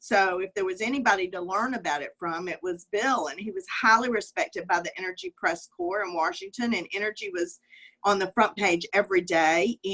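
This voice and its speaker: With a Southern US accent, a woman speaks in a bright, sharp tone, recorded dry and close with no echo. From US South, Alabama. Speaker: communications executive. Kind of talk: interview conversation. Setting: video call. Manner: hesitant, many fillers.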